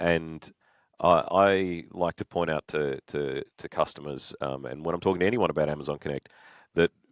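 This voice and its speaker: Dry and close with no echo, on a very clean recording with a silent background, a man with an Australian accent speaks in a very deep, low voice with ordinary pitch variation. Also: moderate pace. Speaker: podcast co-host, solutions architect. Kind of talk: casual chat.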